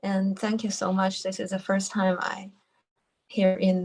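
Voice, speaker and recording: A woman with a Chinese accent speaks in a somewhat breathy voice at medium pitch with monotone, flat intonation. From China. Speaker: retreat participant. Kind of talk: question in online Q&A. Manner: halting.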